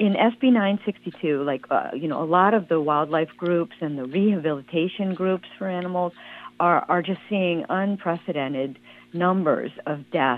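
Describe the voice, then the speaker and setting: At a moderate pace, a woman speaks in a normal speaking voice with a fairly low pitch and ordinary pitch variation. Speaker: environmental advocate. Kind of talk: interview.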